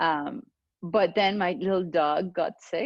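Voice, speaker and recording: A woman in a Venezuelan accent, fairly low in pitch, lively in intonation, with a dry, close sound with no echo and a quiet background. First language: Spanish. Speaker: clinical pharmacist. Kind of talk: interview. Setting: video call.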